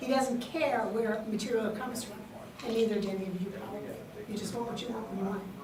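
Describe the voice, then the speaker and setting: A woman with an American accent speaks at a fairly high pitch, with audible room echo and noticeable background noise. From New York City, Queens. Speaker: state library official. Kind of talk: conference panel talk.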